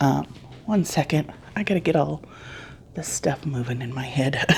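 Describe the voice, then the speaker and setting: The voice is quiet and lively in intonation, moving at a fairly slow pace against noticeable background noise. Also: woman. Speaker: crochet YouTuber. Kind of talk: casual vlog talk. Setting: home, early morning. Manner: quiet, hushed.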